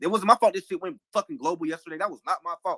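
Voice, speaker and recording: A man talks at a very fast pace in a raised, projected voice, his high pitch swinging very widely with a bright, sharp tone, recorded with a dry, close sound and no echo. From United States. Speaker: live audio room host. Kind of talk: heated debate. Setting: online audio room.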